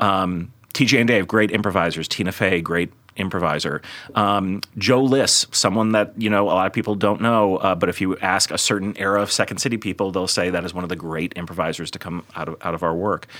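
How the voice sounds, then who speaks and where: A man with an American accent talks fairly quickly in a very deep, low pitch, his intonation fairly even. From Chicago, US Midwest. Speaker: comedy theater executive. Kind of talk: interview conversation. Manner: frequent fillers and hesitations.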